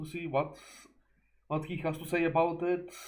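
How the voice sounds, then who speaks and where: In a room with audible echo, a man talks at a fairly high pitch in a monotone, flat way. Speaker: vtuber reacting to movie reviews. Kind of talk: casual video intro. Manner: halting, repeats words.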